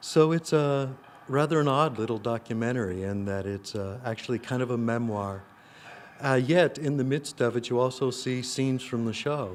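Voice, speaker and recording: This is a man with a plain, everyday voice. His pitch sits in the medium range with ordinary variation, and he keeps a moderate pace. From US Midwest, rural Illinois. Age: 60s. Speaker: actor and playwright. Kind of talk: interview. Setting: film festival. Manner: reflective, with many fillers.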